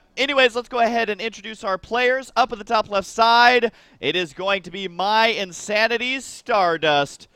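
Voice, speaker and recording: Raised and projected, the voice has a bright, sharp, animated tone, ordinary pitch variation and a moderate pace, with a dry, close sound and no echo. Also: man. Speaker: game commentator. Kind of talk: live commentary.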